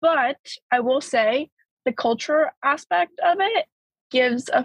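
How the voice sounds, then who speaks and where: A woman speaks with an American accent. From Bulgaria, then Florida from about age 7. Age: young. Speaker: college student. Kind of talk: casual chat. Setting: call.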